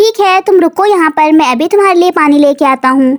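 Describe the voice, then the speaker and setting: A cartoonish character voice, high-pitched and at a fairly quick pace. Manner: polite, friendly.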